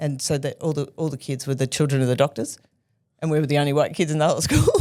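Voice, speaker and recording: Talking very fast with an Australian accent, a woman has a very deep, low pitch, a dark, mellow tone and monotone, flat intonation. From Australia (Melbourne), childhood also abroad. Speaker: arts festival producer. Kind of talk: interview. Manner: halting, many restarts.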